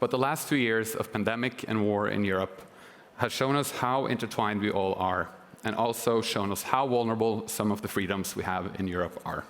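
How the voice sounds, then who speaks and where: The man's pitch is fairly low, his pace fairly quick, and his intonation fairly even. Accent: Norwegian. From Norway. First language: Norwegian. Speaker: government consultant. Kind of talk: prepared speech.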